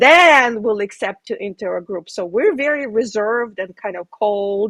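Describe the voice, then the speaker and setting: In a plain, everyday voice, a woman speaks with lively intonation. Her pace is moderate. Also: dry, close sound with no echo. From Ukraine, moved to US as a child. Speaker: real estate investor. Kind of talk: casual chat.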